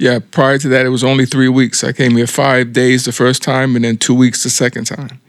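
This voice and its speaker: A man with a Philadelphia accent speaks at a fairly quick pace with hardly any pauses. His intonation is monotone and flat. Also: medium pitch for a man. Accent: Philadelphia-area American. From US, South Jersey. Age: 60s. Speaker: expat, retired chef. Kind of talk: interview.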